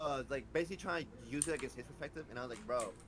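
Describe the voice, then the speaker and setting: A man with vocal fry talks at a very fast pace. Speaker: streamer. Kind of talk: casual chat. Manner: stuttering.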